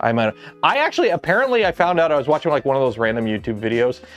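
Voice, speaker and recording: An American accent over music in the background. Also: man. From Southern Ontario, Canada. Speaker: streamer.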